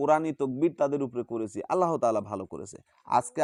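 This man talks with a fairly high pitch and ordinary variation in it. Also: dry, close sound with no echo. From Bangladesh, Bogura. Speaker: folk healer. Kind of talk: testimony; tutorial.

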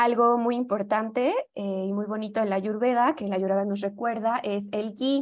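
In an unremarkable speaking voice pitched fairly high, a woman keeps a moderate pace and fairly even intonation. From Mexico. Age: young. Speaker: yoga teacher and holistic health advisor. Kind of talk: lecture. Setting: video call.

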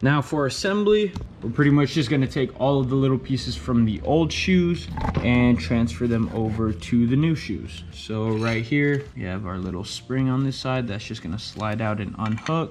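The pace is moderate, and light background noise can be heard. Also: man. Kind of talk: tutorial. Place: garage.

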